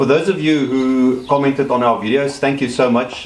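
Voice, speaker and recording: Noticeable background noise and audible room echo surround a man speaking at a fairly quick pace. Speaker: DIY vlogger fixing a camper van. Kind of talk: casual tutorial vlog. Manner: hesitant, many ums.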